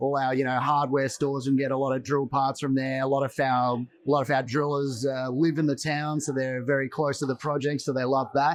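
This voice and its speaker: A man's fairly high, monotone voice with flat intonation, a fairly quick pace, and an Australian accent. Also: hardly any pauses. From Western Australia (Perth). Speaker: mining exploration executive. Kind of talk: interview. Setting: mining investment event.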